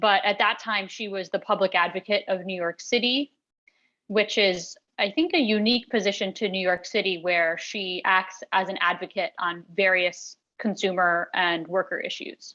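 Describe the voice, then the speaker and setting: A woman's voice sits at a medium pitch with a bright, sharp tone. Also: fairly even intonation. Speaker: executive director of a worker safety nonprofit. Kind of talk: presentation. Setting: talk with interpreters. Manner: slow, deliberately paced for interpreters.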